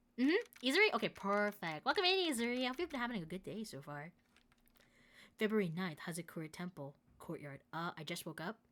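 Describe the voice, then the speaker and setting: With music playing in the background, a woman talks in very wide pitch swings. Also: long, frequent pauses. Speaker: vtuber streamer. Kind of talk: live game stream with game text read aloud. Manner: casual, chatty.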